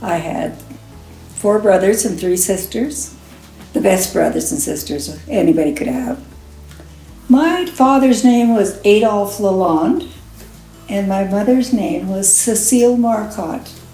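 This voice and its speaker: A woman's medium-pitched voice with a Canadian prairie accent and lively intonation, fairly slow with long, frequent pauses, music in the background and audible room echo. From Saskatchewan, Canada. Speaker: interviewee sharing life stories. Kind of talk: oral history interview.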